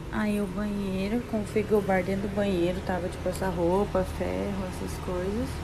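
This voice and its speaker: Soft-spoken, a woman talks at a moderate pace with hardly any pauses, amid audible room echo and noticeable background noise. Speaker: travel vlogger. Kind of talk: video tour of hotel room; casual chat. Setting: hotel room.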